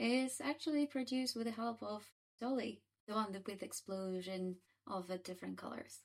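This is an unremarkable speaking voice at a moderate pace. The intonation is lively. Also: woman. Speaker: podcast host. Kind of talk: casual interview chat.

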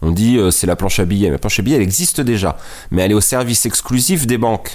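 A man speaking at a fairly quick pace. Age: 40s. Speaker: presidential candidate. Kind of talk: interview.

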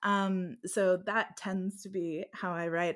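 In a normal speaking voice with an American accent and ordinary pitch variation, the speaker is heard on a very clean recording with a silent background. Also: woman. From United States. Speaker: fantasy romance author. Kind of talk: casual interview.

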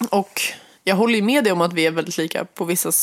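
A woman is speaking. Her pitch is fairly low. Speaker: podcast co-host, one half of a couple. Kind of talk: intimate relationship conversation. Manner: fast and loud; animated, lively pitch.

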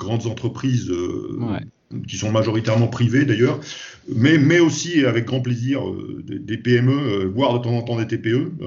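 A man speaks at a very slow pace. His medium-pitched voice shows ordinary pitch variation. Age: 50s. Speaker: safety consultant. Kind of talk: interview. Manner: halting, many repetitions.

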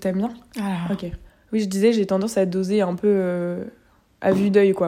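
Long, frequent pauses break up a woman's monotone, flat delivery at medium pitch. Her loudness swings widely. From France, Angers. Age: 20s. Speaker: fashion communication student. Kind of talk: casual chat.

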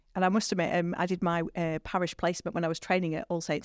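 Speaking at a fairly quick pace in a northern English accent, a woman with a fairly low pitch is heard in a very clean recording with a silent background and a dry, close sound with no echo. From northern England. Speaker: priest. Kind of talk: casual interview chat. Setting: studio.

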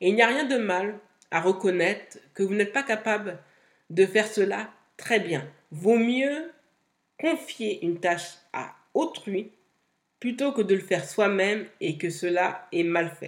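Very slowly, with long, frequent pauses, a woman speaks at a medium pitch with lively intonation. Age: 30s. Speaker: podcast host, content creator and entrepreneur. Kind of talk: solo podcast monologue.

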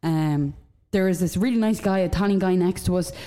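The woman's pitch is fairly low and her intonation fairly even. She keeps a moderate pace. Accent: Irish. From Dundalk, Ireland. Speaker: podcast co-host. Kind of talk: casual banter. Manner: jokey, chatty.

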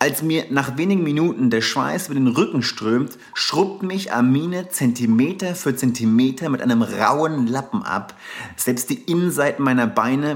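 A man with a slight Hessian accent at a medium pitch, lively intonation, a moderate pace and hardly any pauses, with noticeable background noise. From southern Hesse, Germany (Darmstadt). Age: 30s. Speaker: travel and surf podcast host. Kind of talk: casual storytelling monologue; scripted narration.

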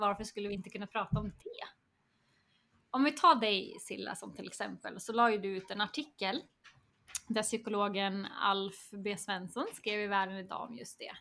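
A woman speaks at a moderate pace with a medium pitch, a bright, sharp tone and ordinary pitch variation. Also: big swings in loudness. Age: 30s. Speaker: education coordinator. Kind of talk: casual chat.

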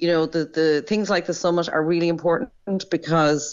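Speaking in an Irish accent, a woman with a very deep, low pitch talks at a moderate pace with ordinary pitch variation. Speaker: doctor. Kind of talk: interview.

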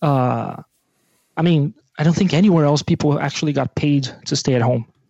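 A man speaks with a Portuguese accent and a dark, mellow tone. His pitch varies in an ordinary way, and the sound is dry and close with no echo. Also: long, frequent pauses. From Brazil. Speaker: rock musician. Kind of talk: casual chat.

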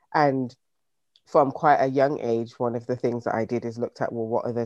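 In a British accent, a man speaks very fast at a medium pitch with a dark, mellow tone. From UK, Jamaican heritage. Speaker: business founder. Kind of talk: interview. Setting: video call.

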